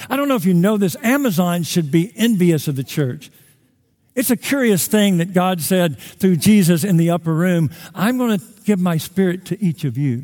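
Speaking at a moderate pace, a man uses a high pitch with a dark, mellow tone and lively intonation. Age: 60s. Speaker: pastor. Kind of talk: sermon. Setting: church.

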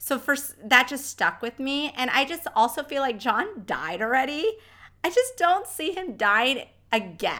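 A woman projects a raised, high-pitched voice that swings very widely in pitch. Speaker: podcast co-host. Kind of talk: casual chat.

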